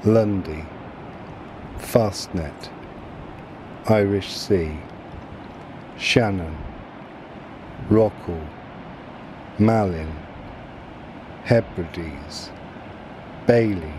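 Over noticeable background noise, a man speaks very slowly and calmly, leaving long, frequent pauses. His pitch is very deep and low, with ordinary variation. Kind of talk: shipping forecast area list reading, almost ASMR. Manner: soft-spoken, calm.

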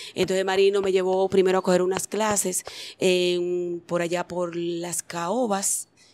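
A woman is speaking. She has a Dominican accent. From Dominican Republic. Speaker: singer and dancer. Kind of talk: interview. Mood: animated storytelling. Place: studio. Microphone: handheld.

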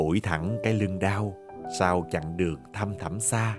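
Music plays in the background as a man speaks with a Southern Vietnamese accent. He talks at a fairly slow pace with ordinary pitch variation. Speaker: radio announcer, TV host. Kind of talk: audiobook short story reading.

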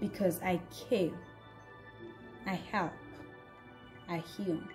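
Music plays in the background. A woman talks very slowly with fairly even intonation and a fairly low pitch. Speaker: voice actress. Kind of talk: dramatic monologue read.

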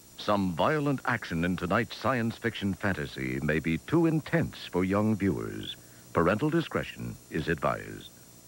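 On a very clean recording with a silent background, a man with vocal fry and a very deep, low pitch speaks at a moderate pace, his loudness very even while his pitch swings very widely. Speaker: promo announcer. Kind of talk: TV movie promo narration.

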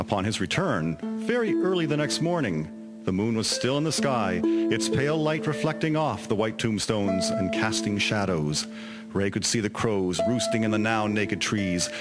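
Over music in the background, a man at medium pitch talks at a moderate pace with lively intonation and very even loudness. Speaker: volunteer community actor. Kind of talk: radio drama narration.

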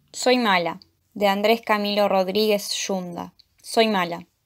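A woman speaks in an ordinary speaking voice at medium pitch, fairly slowly, with fairly even intonation. The recording is very clean, with a silent background. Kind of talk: poem performed. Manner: dark, intense, brooding delivery.

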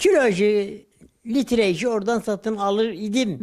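Recorded very cleanly with a silent background, a man with a high pitch talks at a fairly slow pace. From Sivas, Turkey. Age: 80s+. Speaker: village elder, farmer. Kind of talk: interview answer.

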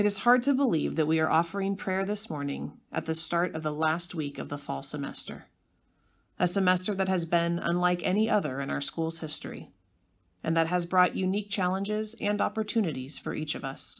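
With an unremarkable speaking voice, a woman talks at a fairly quick pace and a fairly low pitch with ordinary pitch variation on a very clean recording with a silent background. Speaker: school announcer leading prayer. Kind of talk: school morning pledge and devotional prayer, solemn and reverent. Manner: formal.

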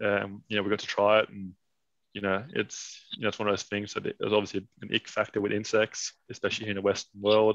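A man with a Danish accent at a very fast pace, fairly low in pitch and monotone, with a dry sound with no echo and a quiet background. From Denmark. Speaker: cricket farm founder; guest. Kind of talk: interview. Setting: video call. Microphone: video call.

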